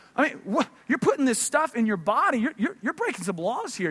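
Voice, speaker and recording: A man talks in an extremely high pitch. Noticeable background noise can be heard. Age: 30s. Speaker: pastor. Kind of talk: sermon. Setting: church.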